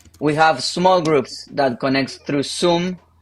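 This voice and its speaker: With a Spanish accent, the speaker goes at a fairly slow pace with fairly even intonation. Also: man. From Argentina. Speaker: pastor. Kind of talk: interview.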